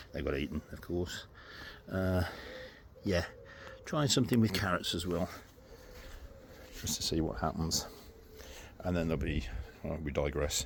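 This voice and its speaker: A man with a British accent and a very deep, low pitch, somewhat breathy, at a moderate pace, with ordinary pitch variation and long, frequent pauses. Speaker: gardening vlogger. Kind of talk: casual chat. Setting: outdoors. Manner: soft-spoken.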